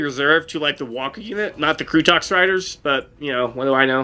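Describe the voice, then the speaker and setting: The tone is bright and sharp. The delivery moves at a very fast pace. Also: man. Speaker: gaming streamer. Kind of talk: live gameplay commentary. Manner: halting, stuttering; casual, filler-heavy.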